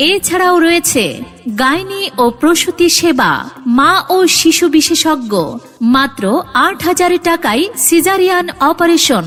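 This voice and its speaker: A woman speaks at an extremely high pitch with ordinary pitch variation and very even loudness, music playing in the background. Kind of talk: public address advertisement read.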